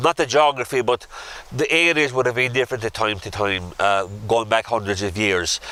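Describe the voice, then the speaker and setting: Spoken at a moderate pace with ordinary pitch variation in a Kerry accent, the voice comes through noticeable background noise. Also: man. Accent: Irish, Kerry. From Ireland, north Kerry. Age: 70s. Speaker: local historian tour guide. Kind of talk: guided walking tour talk. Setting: outdoors.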